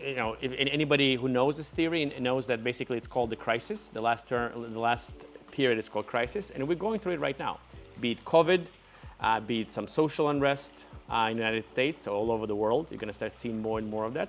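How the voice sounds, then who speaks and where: Over music in the background, a man with a non-native accent talks very fast at a medium pitch with ordinary pitch variation. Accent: foreign. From Ukraine. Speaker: entrepreneur. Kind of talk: casual talk to camera.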